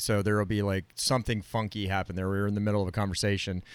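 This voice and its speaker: Talking very fast, a man with an American accent uses a fairly low pitch. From Florida. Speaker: broadcast technician and podcast co-host. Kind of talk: casual chat. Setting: video call.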